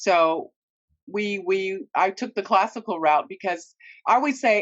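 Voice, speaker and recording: A woman speaks with an American accent in an unremarkable speaking voice. Her pitch is medium with ordinary variation, and her pace is fairly slow. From California, US. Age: 60s. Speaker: opera singer. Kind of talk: casual chat. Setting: studio.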